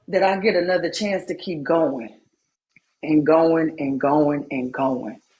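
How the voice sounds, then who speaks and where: Her pitch is very deep and low, with ordinary variation. The woman speaks fairly slowly in an animated tone. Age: 40s. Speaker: livestreamer. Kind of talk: emotional live-stream monologue.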